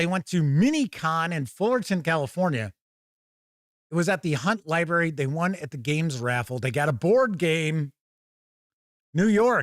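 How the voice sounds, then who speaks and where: With lively intonation and long, frequent pauses, a man speaks at a fairly high pitch, the sound dry and close with no echo on a very clean recording with a silent background. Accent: Midwestern US. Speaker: streamer reading chat.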